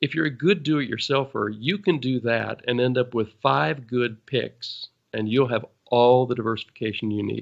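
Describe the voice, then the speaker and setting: A man talks in a plain, everyday voice. His pace is moderate and his pitch variation is ordinary. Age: 60s. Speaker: financial advisor. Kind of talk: podcast Q&A explanation.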